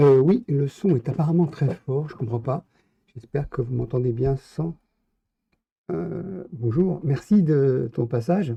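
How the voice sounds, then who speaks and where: Very slow, with long, frequent pauses, a man's fairly high voice comes across dark, mellow and somewhat breathy. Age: 50s. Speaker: live streamer. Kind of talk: casual chat. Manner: hesitant.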